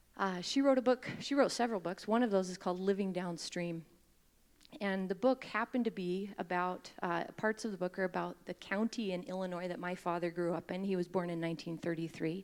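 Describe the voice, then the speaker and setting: Speaking with an American accent, a woman uses a plain, everyday voice at medium pitch with ordinary pitch variation. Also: fairly quick pace. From Utah. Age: 30s. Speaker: mayoral candidate. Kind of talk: campaign speech.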